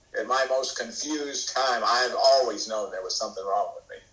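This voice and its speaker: A man's voice with music in the background. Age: 70s. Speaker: AA speaker sharing recovery story. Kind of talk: testimony. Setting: video call.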